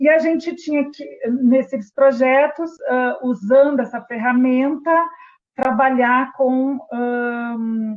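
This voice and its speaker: Speaking very slowly in a strong Rio Grande do Sul accent, a woman keeps her high pitch fairly even in intonation. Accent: strong gaúcho (Rio Grande do Sul). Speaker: healthcare quality and patient safety specialist. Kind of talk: webinar presentation. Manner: hesitant, many fillers.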